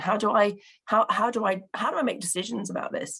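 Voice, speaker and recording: A woman talks with a Bristol accent. Her pace is fairly quick. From England, Bristol. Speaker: local partnership representative. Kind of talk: conference presentation. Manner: hesitant, many fillers.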